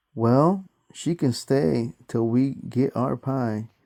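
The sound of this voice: An unforced reading voice comes through with quiet surroundings.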